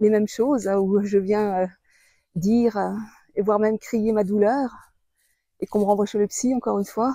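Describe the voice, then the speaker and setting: A woman talks at a moderate pace in a fairly high voice. She leaves long, frequent pauses. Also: fairly even intonation. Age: 60s. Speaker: author and video blogger. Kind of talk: personal testimony. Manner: hesitant, many fillers.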